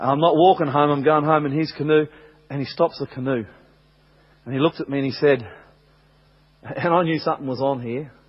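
Pitched fairly high, a man's voice comes through. He leaves long, frequent pauses. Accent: Australian. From Australia. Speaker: pastor. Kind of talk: sermon. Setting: church.

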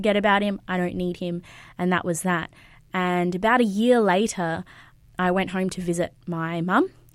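Over a silent background in a very clean recording, a woman speaks at a medium pitch with an Australian accent. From Queensland, Australia. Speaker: youth pastor. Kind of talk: interview testimony.

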